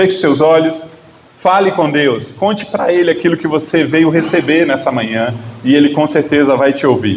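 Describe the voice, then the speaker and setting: A man with a Bahian accent talks at a moderate pace and fairly high pitch, with ordinary pitch variation and very even loudness. Audible room echo and noticeable background noise surround him. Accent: Northeastern Brazilian (Bahia). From Northeast Brazil, Bahia. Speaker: guest preacher. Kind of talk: sermon. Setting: church.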